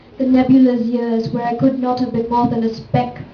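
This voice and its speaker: Noticeable background noise beneath a woman's fairly high voice. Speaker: poet. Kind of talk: poetry reading.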